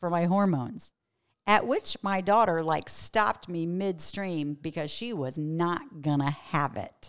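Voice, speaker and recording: The recording is very clean, with a silent background. A woman with a normal speaking voice talks at a moderate pace and medium pitch. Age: 50s. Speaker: pastor and podcast host. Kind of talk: teaching monologue.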